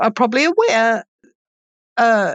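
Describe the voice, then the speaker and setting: Speaking at a fairly slow pace with a New Zealand accent, a woman uses ordinary pitch variation in a dry, close sound with no echo. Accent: light New Zealand. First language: Swedish. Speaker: economist and professor. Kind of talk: interview.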